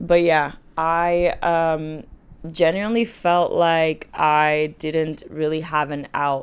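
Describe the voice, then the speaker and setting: A fairly low-pitched woman's voice, monotone and flat, on a very clean recording with a silent background. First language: not English. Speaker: dating and self-help vlogger. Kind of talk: personal vlog monologue. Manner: casual, filler-heavy.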